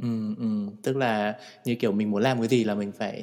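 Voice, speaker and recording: A man with an ordinary speaking voice at medium pitch, fairly even intonation and a moderate pace. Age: 30s. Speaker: podcast host. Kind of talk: casual chat.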